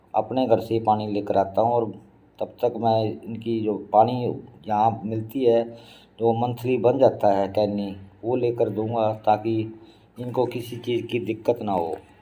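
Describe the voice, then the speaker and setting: A man's dark, mellow voice sits at a medium pitch with a monotone, flat intonation. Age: 60s. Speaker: family vlogger. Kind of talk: casual vlog talk.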